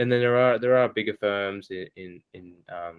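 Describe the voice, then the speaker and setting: Someone speaks with an Australian accent at a moderate pace with fairly even intonation. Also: man. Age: young. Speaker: architect. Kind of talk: podcast interview. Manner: hesitant, many fillers.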